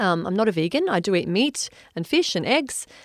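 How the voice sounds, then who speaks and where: A woman with an Australian accent, dry and close with no echo, on a very clean recording with a silent background. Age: 40s. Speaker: wellness podcast host. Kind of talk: solo podcast monologue.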